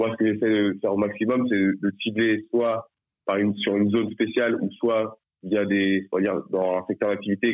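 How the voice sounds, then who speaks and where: Monotone, flat intonation marks this man's speech. He talks at a moderate pace, his pitch fairly low. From France, Nantes. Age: 20s. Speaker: sports club marketing manager. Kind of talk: interview. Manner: halting, many fillers.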